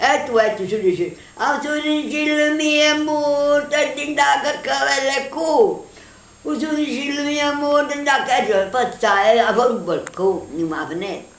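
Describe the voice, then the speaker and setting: A woman's high voice in a Neapolitan accent, with lively intonation at a fairly slow pace amid noticeable background noise. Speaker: grandmother storyteller. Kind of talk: children's folk tale told at home.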